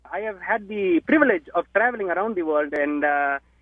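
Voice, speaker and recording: A man speaks with an Indian accent and lively intonation. His pace is fairly quick. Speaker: musician. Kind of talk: interview.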